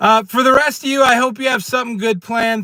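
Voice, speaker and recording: A man speaks in an animated tone. His voice is raised and projected. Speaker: prepping and precious metals streamer. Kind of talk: live stream rant. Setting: in a car. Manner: loud.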